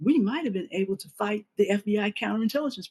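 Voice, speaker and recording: A woman with an American accent talks at a fairly quick pace and a medium pitch, with lively intonation. Her somewhat breathy voice has a dark, mellow tone, and the sound is dry and close with no echo. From US Midwest, Jefferson City, Missouri. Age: 70s. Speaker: activist and former party newspaper editor. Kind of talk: interview conversation.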